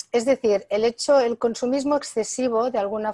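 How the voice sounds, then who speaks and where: A woman with a dark, mellow tone speaks at a moderate pace with ordinary pitch variation. The sound is dry with no echo, and the background is quiet. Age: 60s. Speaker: author and natural health expert; interviewee. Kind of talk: interview. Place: home room. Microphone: earbuds.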